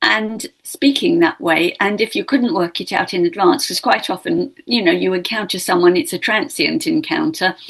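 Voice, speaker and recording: A woman speaks at a fairly slow pace, her fairly high voice somewhat breathy. Her pitch swings very widely. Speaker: linguistics professor. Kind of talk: interview.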